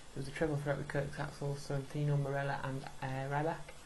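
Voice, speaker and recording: Noticeable noise sits behind speech delivered at a fairly brisk tempo. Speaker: gaming video creator. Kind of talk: gameplay commentary. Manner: fast; stuttering.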